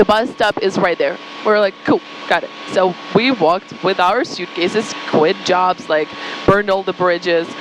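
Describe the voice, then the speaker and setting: A woman's medium-pitched voice with a Ukrainian accent, moderate pace and fairly even intonation, over noticeable background noise. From Ukraine. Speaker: marketing agency founder. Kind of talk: podcast interview, personal story.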